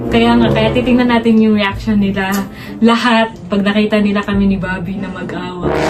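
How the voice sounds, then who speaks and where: A woman's medium-pitched, lively voice at a fairly quick pace, with audible room echo and music in the background. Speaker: vlogger. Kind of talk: casual vlog chat.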